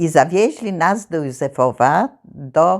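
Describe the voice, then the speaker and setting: Very slowly and with lively intonation, a woman with a very deep, low pitch speaks with vocal fry on a very clean recording with a silent background. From Poland, Zamość region. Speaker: war childhood witness. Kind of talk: oral history interview answer.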